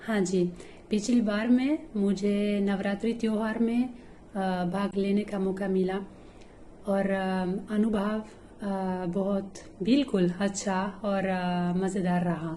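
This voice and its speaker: A woman's dark, mellow, somewhat breathy voice with fairly even intonation and audible room echo. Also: medium pitch for a woman. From Italy. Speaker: schoolteacher, Hindi learner. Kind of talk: language-learning interview. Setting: online call. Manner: halting, many filler pauses.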